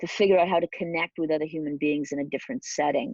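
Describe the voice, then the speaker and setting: Against a quiet background, a woman speaks at a fairly low pitch with ordinary pitch variation and a dry, close sound with no echo. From Wales. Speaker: business leader and leadership coach. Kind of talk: interview, personal story.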